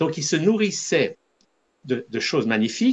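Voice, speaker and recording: A man speaks at a fairly slow pace with vocal fry and very wide pitch swings. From Switzerland. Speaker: holistic doctor, spiritual teacher. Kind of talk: interview.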